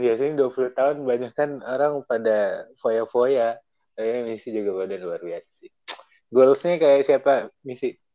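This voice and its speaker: A man's dark, mellow tone at a medium pitch. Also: big swings in loudness. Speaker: radio announcer. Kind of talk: casual chat. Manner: animated. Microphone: choppy connection.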